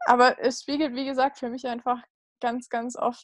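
This woman's fairly high voice stays monotone, with flat intonation throughout. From Munich, Bavaria. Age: 20s. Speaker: bereaved sibling. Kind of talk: personal testimony interview. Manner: halting, many fillers.

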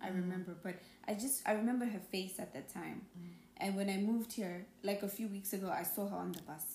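In a room with audible echo, a woman with a medium pitch speaks at a fairly quick pace and with fairly even intonation. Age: 20s. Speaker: podcast guest. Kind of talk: casual chat.

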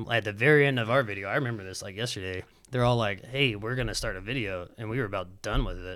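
Speaking very fast with a Southern US accent, a man uses a bright, sharp tone, a medium pitch and ordinary pitch variation, in a very clean recording with a silent background. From Alabama (Huntsville). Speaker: professional skateboarder. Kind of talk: casual chat.

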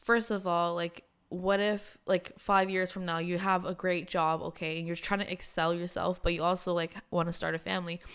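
Delivered at a fairly quick pace in a plain, everyday voice, the recording is very clean with a silent background. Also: woman. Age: 20s. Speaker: podcast co-host. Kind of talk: casual chat.

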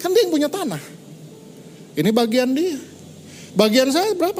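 A man's animated tone with very wide pitch swings over noticeable background noise. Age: 50s. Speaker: pastor. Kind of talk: sermon.

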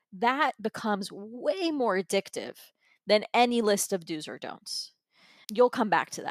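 With an American accent and an unremarkable speaking voice, a woman talks with ordinary pitch variation in a very clean recording with a silent background and a dry, close sound with no echo. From US, Florida, Persian heritage. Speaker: holistic wellness coach. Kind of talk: casual interview.

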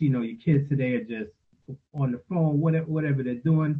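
This man has a fairly high pitch and a New York accent. His intonation is fairly even and his voice is somewhat breathy. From New York City (Queens). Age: 50s. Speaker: father, panel guest. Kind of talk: panel discussion.

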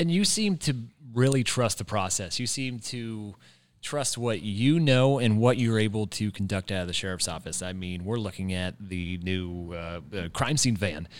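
A man with an American accent, fairly low-pitched, at a moderate pace with lively intonation, on a very clean recording with a silent background. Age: 20s. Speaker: local reporter and podcast host. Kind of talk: interview conversation.

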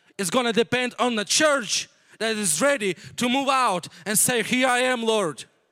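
In a raised, projected voice, a man speaks at a moderate pace with an extremely high pitch, ordinary pitch variation and a bright, sharp tone. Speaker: missionary pastor. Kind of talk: sermon. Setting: church.

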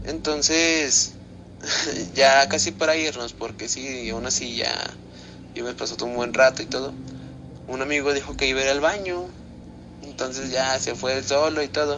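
Amid noticeable background noise, a man talks at a moderate pace and medium pitch, with ordinary pitch variation and long, frequent pauses. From Zacatecas, Mexico. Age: young. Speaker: listener sending a story. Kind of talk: recorded personal story.

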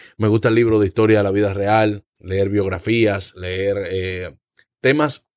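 A man at a moderate pace. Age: 20s. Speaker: comedian and actor. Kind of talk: casual chat. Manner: halting.

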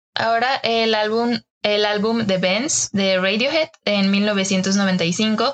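Speaking at a very slow pace with a Mexican accent, a woman keeps a medium pitch, ordinary pitch variation and very even loudness. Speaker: design podcast host. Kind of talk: casual chat.

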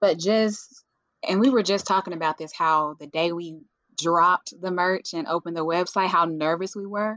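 With a Southern US accent, a woman talks at a moderate pace in a fairly low pitch, her loudness swinging widely while her intonation stays fairly even. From US South, western Tennessee. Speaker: natural hair influencer and brand founder. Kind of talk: casual interview.

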